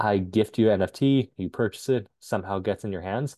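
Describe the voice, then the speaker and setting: Moving at a fairly quick pace, a man speaks in a normal speaking voice with a fairly low pitch and ordinary pitch variation. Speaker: tech entrepreneur. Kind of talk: interview.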